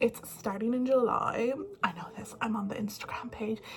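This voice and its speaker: Speaking with an Irish accent, the voice moves at a moderate pace with fairly even intonation. There is noticeable background noise. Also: woman. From Ireland. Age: 20s. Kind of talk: casual talk to camera.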